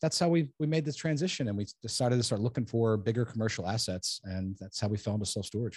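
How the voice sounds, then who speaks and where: Barely pausing, a man with an American accent rushes along at a very fast pace, his medium-pitched voice somewhat breathy and his intonation lively, over a quiet background. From New Jersey. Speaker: self-storage developer. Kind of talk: interview.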